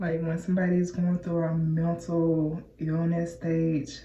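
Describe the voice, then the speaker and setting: A woman speaks very slowly with a fairly low pitch, a dark, mellow tone and a somewhat breathy quality. Her intonation is monotone and flat, and there is audible room echo. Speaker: hair and lifestyle vlogger. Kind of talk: casual vlog chat. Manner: casual, halting at times.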